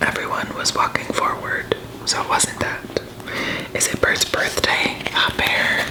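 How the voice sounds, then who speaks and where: Whispering in a calm tone, the speaker is heard over noticeable background noise. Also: woman, fairly slow pace. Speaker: ASMR creator. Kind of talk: bedtime story reading. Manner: whispered; soft-spoken, calm.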